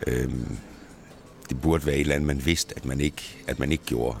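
A man with a very deep, low pitch talks at a fairly quick pace, his pitch varying in an ordinary way. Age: 40s. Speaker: national pony show jumping coach. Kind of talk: interview. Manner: hesitant, many fillers.

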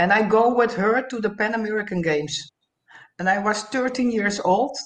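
A woman with a Dutch accent, medium in pitch, fairly slow, with ordinary pitch variation. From Curacao. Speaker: retired Olympic swimmer. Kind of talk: casual interview. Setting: video call from Holland. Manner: halting, non-native phrasing.

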